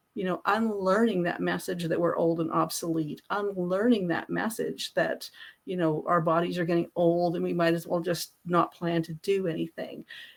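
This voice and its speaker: Barely pausing, a woman talks at a moderate pace. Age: 60s. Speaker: business founder and author. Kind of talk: interview conversation.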